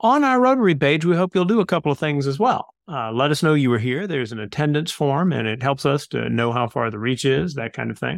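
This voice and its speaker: An ordinary speaking voice from a man, fairly high-pitched and fairly quick, with lively intonation and hardly any pauses. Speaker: club host and interviewer. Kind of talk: interview, club presentation. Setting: online video meeting.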